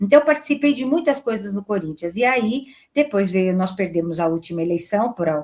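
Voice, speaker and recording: Speaking at a fairly quick pace, a woman uses a plain, everyday voice pitched fairly high. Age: 60s. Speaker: football club board member and lawyer. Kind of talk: interview.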